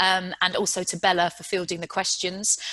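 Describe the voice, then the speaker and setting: A woman with a British accent, medium pitch and a bright, sharp tone, over a quiet background. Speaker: panel moderator, chief executive; panel moderator. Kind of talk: panel discussion moderation. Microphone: video call.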